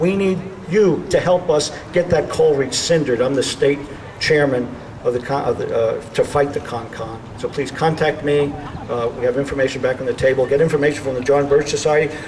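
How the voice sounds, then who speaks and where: A man with a Bronx accent at a fairly high pitch and fairly quick pace, ordinary pitch variation, and noticeable background noise. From New York City (the Bronx). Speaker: political speaker. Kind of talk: rally speech.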